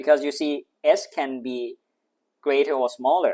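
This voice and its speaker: A man speaks with a non-native accent. The sound is dry and close with no echo, over a quiet background. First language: not English. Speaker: maths tutor. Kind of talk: tutorial. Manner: thinking aloud, hesitant with fillers.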